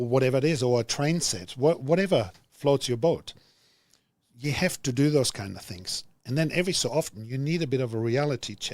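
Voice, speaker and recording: With a German accent, a man talks at a fairly quick pace, at a medium pitch and with lively intonation. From Germany. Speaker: business executive. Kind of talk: podcast interview.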